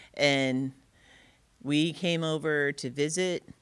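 A woman's very deep, low voice with an American accent and fairly even intonation. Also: very clean recording, silent background. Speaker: social services worker. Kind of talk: interview.

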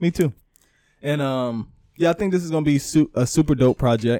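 On a very clean, dry and close recording with no echo and a silent background, a man with a fairly high pitch and a dark, mellow tone speaks at a moderate pace with lively intonation. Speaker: podcast co-host. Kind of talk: casual chat. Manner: animated.

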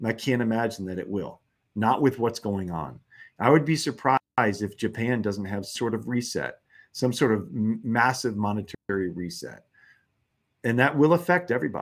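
The intonation is lively. The pace is moderate. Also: man, medium pitch for a man. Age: 50s. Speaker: macro investor and newsletter writer. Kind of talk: interview. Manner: hesitant, repeats words.

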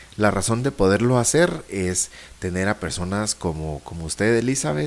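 A man's very deep, low voice with lively intonation at a fairly slow pace. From Guatemala. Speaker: podcast host. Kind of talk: interview.

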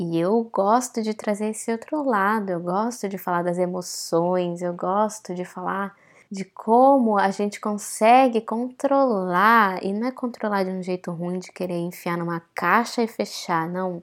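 A woman speaks at medium pitch with ordinary variation and an animated tone, at a fairly slow pace with hardly any pauses. The recording is very clean and the background silent. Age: 20s. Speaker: podcast host, actress and holistic therapist. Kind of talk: solo podcast monologue. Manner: animated, casual.

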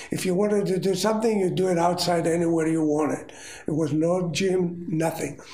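Against noticeable background noise, a high-pitched man speaks at very even loudness. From Rhodes, Greece. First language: Greek. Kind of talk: elder telling life story in interview. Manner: slow, halting, reminiscing.

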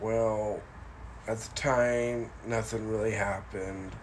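Noticeable background noise sits under a man talking at a very slow pace in a monotone, flat way. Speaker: paranormal podcast host. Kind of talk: ghost story telling, spooky narration. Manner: hushed, suspenseful, dramatic build with repeated words; informal, rambling, somewhat halting with fillers.

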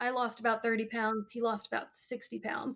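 Her American accent, fairly high pitch and monotone, flat intonation mark this woman's delivery at a moderate pace. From US, Wisconsin, Illinois and Maryland. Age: 30s. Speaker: heart disease patient. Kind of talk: interview.

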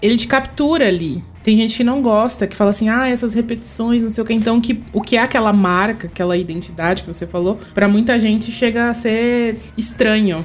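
Over noticeable background noise, a woman with a fairly high pitch talks at a fairly quick pace with hardly any pauses and ordinary pitch variation. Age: 30s. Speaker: writer and illustrator. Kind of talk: casual chat.

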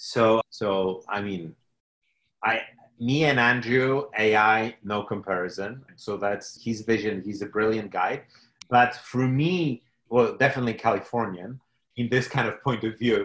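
A man at a medium pitch with a Polish accent, fairly slow pace, quiet background. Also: ordinary pitch variation. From Poland. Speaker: technology entrepreneur. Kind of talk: interview. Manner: halting.

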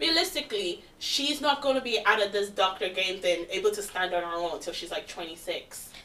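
Over noticeable background noise, a woman talks at medium pitch and a moderate pace, her pitch swinging very widely with hardly any pauses. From London. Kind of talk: casual group chat.

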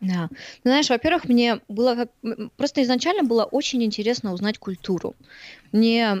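With a slight Russian accent, the speaker talks at a moderate pace with ordinary pitch variation and big swings in loudness, in a very clean, dry, close recording with a silent background and no echo. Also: woman, fairly high pitch for a woman. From Siberia, Krasnoyarsk. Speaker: fitness trainer and blogger. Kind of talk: casual chat.

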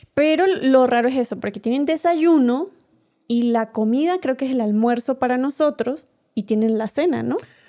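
A woman with a strong Venezuelan accent speaks at a moderate pace in a high pitch, her dark, mellow tone carrying ordinary pitch variation. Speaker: podcast co-host. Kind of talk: casual chat.

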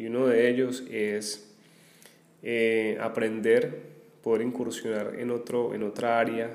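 Audible room echo surrounds a man's voice. He speaks at a medium pitch in a flat monotone. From Colombia, Armenia (Quindío). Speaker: teacher and podcaster. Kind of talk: casual solo monologue. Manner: hesitant, many filler pauses.

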